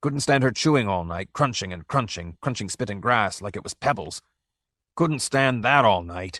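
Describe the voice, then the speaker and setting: A raspy put-on character voice at a moderate pace, dry and close with no echo, over a quiet background. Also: man, medium pitch for a man, lively intonation. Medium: read story. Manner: plaintive, twitchy.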